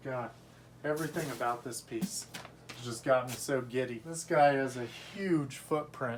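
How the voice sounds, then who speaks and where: The speech moves at a moderate pace with ordinary pitch variation and big swings in loudness. Background noise is noticeable. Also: man, medium pitch for a man. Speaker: collectibles unboxing youtuber. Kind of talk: unboxing review.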